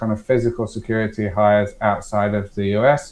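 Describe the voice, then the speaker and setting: A man with an English accent, at a moderate pace. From England. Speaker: startup founder, former security director. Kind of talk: podcast interview. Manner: hesitant, many fillers and repeats.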